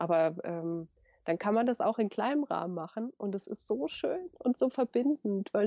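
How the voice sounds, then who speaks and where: Her pitch medium and its variation ordinary, a woman speaks. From Germany, Lower Franconia (Bavaria). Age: 30s. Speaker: author and sustainable fashion expert. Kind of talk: interview. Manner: animated; hesitant with fillers.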